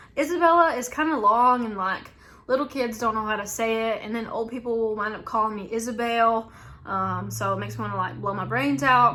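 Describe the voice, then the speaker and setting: A woman with a strong Southern US accent, fairly high-pitched and lively in intonation, at a fairly quick pace amid audible room echo. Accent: thick Southern US. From US South. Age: 20s. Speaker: YouTuber, reseller. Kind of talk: casual Q&A tag video. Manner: chatty, frequent fillers.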